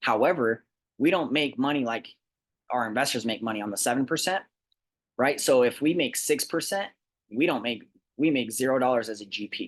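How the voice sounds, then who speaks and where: A man's medium-pitched voice at a fairly quick pace, with ordinary pitch variation, long, frequent pauses and a quiet background. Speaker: real estate investment presenter. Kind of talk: sales pitch. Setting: recorded presentation. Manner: fast.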